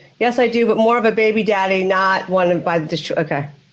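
Here is a woman with an unremarkable speaking voice and an American accent. Her pitch is medium, with ordinary variation. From United States. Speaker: relationship coach and former therapist; relationship coach. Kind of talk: casual chat. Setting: video call with headset. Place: home room. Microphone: video call.

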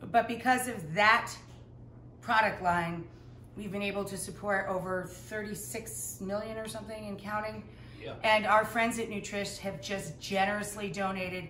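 The speech moves at a moderate pace with ordinary pitch variation and big swings in loudness, in a room with audible echo and light background noise. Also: woman. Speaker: home cook host. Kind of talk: casual Q&A chat. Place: kitchen. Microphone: camera far.

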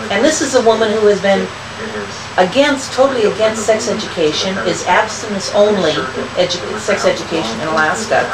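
A woman speaks at a fairly quick pace with noticeable background noise. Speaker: grandmother. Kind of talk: casual political chat. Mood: indignant, opinionated. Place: home room. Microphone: camera far.

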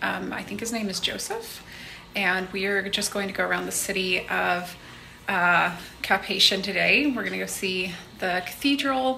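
Over light background noise, a woman speaks at a moderate pace with ordinary pitch variation. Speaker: travel vlogger. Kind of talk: casual vlog chat. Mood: upbeat, relaxed. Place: home room. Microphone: phone near.

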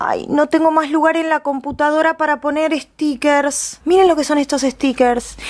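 A woman is speaking. The background is quiet. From Argentina. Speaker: YouTuber; unboxing vlogger. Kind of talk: unboxing vlog; casual vlog chat. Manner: animated; fast. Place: home room.

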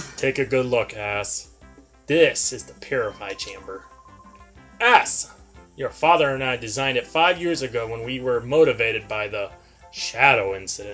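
A put-on character voice at low-to-middle pitch and moderate pace, with long, frequent pauses and faint music in the background. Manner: lecturing, imperious.

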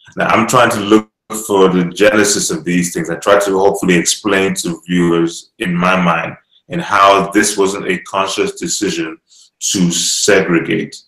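A man's fairly low voice at a moderate pace, with fairly even intonation, audible room echo and a quiet background. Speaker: online show host. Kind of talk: panel discussion. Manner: hesitant, many fillers. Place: home room.

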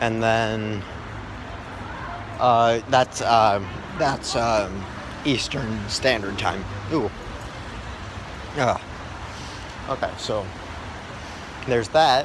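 A man speaks at a very slow pace with long, frequent pauses and ordinary pitch variation, over noticeable background noise. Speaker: gaming channel vlogger. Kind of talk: casual vlog chat. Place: street. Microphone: phone near.

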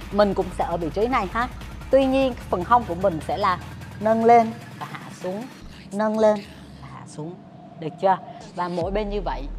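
Music can be heard behind the voice. The woman talks at a moderate pace. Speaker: fitness trainer. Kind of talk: workout instruction and counting. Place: gym.

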